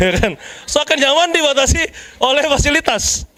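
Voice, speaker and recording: A man speaks in an extremely high pitch with a raised, projected voice. His tone is animated, and his pitch varies in an ordinary way. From Jakarta, Indonesia. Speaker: preacher. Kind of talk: sermon.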